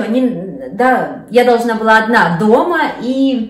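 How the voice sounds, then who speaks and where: A woman speaks with audible room echo. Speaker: vlogger. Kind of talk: casual vlog chat. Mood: warm, cheerful. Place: kitchen.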